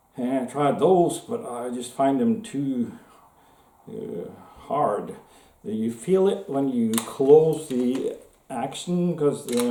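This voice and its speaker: Very slow speech in a Norwegian accent with very wide pitch swings, audible room echo and noticeable background noise. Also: man. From Norway. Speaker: gun hobbyist video maker. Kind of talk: casual show-and-tell tutorial. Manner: halting, many fillers.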